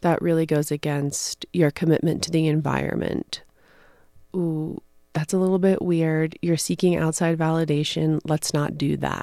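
A woman's very deep, low voice with a dark, mellow tone, monotone and flat in intonation at a moderate pace, dry and close with no echo on a very clean recording with a silent background. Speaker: podcast host and spiritual author. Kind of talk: solo spiritual talk.

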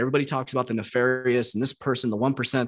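Against a quiet background, a man with an American accent talks at a very fast pace and a medium pitch. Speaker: online coach and entrepreneur. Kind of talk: interview.

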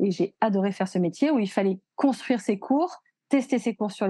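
Using a plain, everyday voice, a woman talks at a fairly quick pace and medium pitch with ordinary pitch variation. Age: 40s. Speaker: hairdresser and beauty education entrepreneur. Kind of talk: casual chat. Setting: podcast recording.

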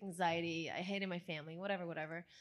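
A woman with an Italian accent talks at a very fast pace. The recording is very clean, with a silent background. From Italy. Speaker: actress, model and filmmaker. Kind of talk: casual interview chat. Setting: live event with audience.

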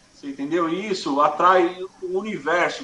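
Noticeable background noise accompanies a man whose voice sits at a high pitch. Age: 40s. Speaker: music event producer. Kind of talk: casual interview.

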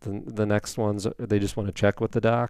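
Using a normal speaking voice, a man with an American accent and a fairly low pitch speaks at a moderate pace with fairly even intonation in a very clean recording with a silent background. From Indiana. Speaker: family physician. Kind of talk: interview.

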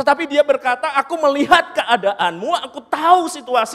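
An animated man speaks at an extremely high pitch with lively intonation. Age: 40s. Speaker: preacher. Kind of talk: sermon.

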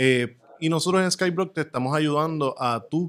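A man talks at a moderate pace in a normal speaking voice, fairly high in pitch. His pitch varies in an ordinary way on a very clean recording with a silent background. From Puerto Rico. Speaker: crypto podcast co-host. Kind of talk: podcast interview.

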